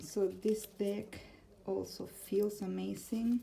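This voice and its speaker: A woman with an Argentine accent talks at a very slow pace, and audible room echo surrounds her voice. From Argentina, Buenos Aires. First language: Spanish. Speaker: tarot content creator. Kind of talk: casual vlog, answering tag questions. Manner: halting, with fillers.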